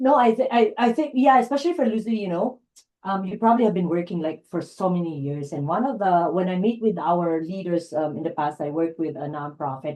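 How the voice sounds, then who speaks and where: Her tone is dark and mellow at a medium pitch, with very wide pitch swings. The woman talks at a fairly quick pace. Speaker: life coach and presenter. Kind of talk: online workshop chat.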